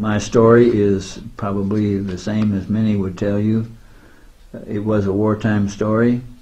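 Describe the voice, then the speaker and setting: A man with an American accent speaks fairly slowly in a fairly low pitch, his tone dark and mellow and somewhat breathy. His intonation is flat and monotone, and the room echo is audible. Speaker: war veteran. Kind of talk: interview. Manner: halting.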